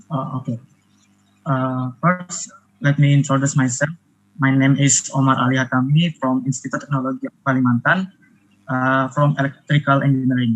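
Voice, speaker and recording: This man speaks with an Indonesian accent at a medium pitch. His pace is moderate and his intonation fairly even. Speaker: engineering student, audience questioner. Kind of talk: audience question in webinar. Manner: hesitant, many fillers.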